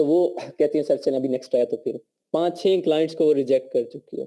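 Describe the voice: Fast-paced, a man speaks in a dark, mellow tone at a fairly high pitch. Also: ordinary pitch variation.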